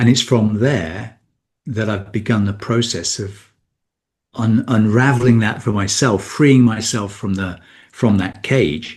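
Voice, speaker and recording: Over a quiet background, a man with a British accent speaks at a fairly slow pace in a fairly low, somewhat breathy voice with ordinary pitch variation. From Britain. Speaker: men's coach. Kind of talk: podcast interview. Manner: halting, many repetitions.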